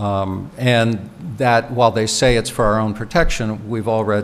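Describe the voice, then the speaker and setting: Against noticeable background noise, a man with an American accent speaks at a fairly slow pace and medium pitch. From United States. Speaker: professor, keynote speaker. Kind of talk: Q&A answer after lecture. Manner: halting, many repetitions.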